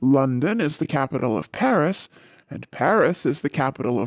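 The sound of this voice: Lively intonation in an unforced reading voice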